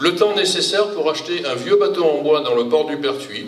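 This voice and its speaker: A fairly high-pitched man speaks with ordinary pitch variation amid noticeable background noise and audible room echo. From southern France, Provence (Toulon). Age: 60s. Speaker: retired engineer, local election candidate. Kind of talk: public speech at campaign meeting. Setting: public meeting with audience.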